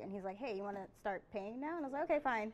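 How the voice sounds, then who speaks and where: The pace is very fast for this woman. Ordinary pitch variation runs through her speech. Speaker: presenter. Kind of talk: conference talk, personal story. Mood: lighthearted, laughing. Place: hall. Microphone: podium.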